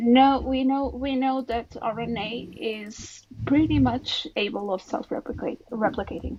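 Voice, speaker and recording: A woman with a non-native accent talks at a fairly slow pace in a high voice. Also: ordinary pitch variation. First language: not English. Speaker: biologist in debate. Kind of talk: heated debate. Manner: halting, repeats words.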